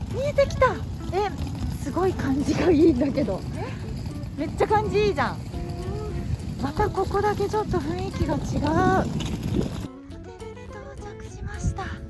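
A woman at a moderate pace with long, frequent pauses, a dry sound with no echo, and loud music in the background. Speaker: TV reporter. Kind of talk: casual travel vlog talk to camera. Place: street. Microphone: phone near.

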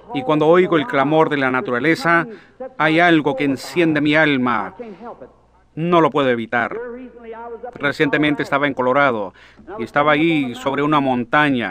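At a moderate pace, a man speaks with a fairly high pitch and ordinary pitch variation. He leaves long, frequent pauses. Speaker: preacher. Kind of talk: sermon preaching.

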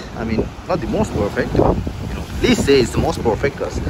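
The man talks at a very fast pace over loud background noise. His voice is dry, with no echo. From Sri Lanka. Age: 20s. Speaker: travel vlogger. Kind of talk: travel vlog. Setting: outdoors. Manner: animated. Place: beach. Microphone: phone near.

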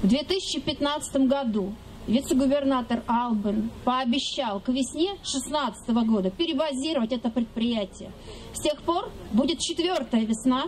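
Over light background noise, a woman with a high voice speaks at a fairly slow pace with lively intonation. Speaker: lawyer. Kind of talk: rally speech. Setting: outdoors. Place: stage.

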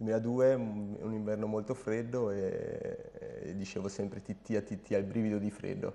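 In a monotone, flat delivery, a man with a fairly low pitch talks at a moderate pace. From Germany, German mother and Sardinian father. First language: German (speaking Italian). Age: 30s. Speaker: jockey and horse trainer; horse trainer. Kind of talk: interview. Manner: hesitant, with repetitions. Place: home room.

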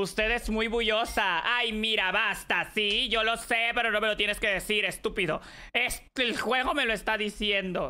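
A woman's fairly high, bright, sharp voice at a fairly slow pace, with very even loudness, on a very clean recording with a silent background. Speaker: streamer. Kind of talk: gaming livestream. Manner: animated.

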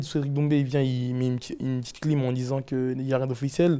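The speaker is male. He talks in a monotone with flat intonation. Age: 20s. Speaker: MMA fighter and podcaster; podcaster. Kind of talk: casual chat. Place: studio. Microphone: lapel.

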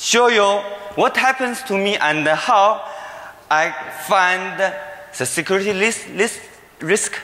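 Speaking in a Chinese accent with a raised, projected voice, a man talks at a high pitch and a very slow pace with lively intonation, long, frequent pauses and audible room echo. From China. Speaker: security researcher. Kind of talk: conference talk. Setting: stage with audience. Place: hall. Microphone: podium.

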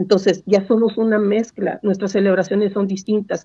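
An ordinary speaking voice comes from a woman at medium pitch, moving at a moderate pace. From northern Mexico, Saltillo. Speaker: reading mediator and poet. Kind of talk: casual panel conversation; storytelling. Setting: video call.

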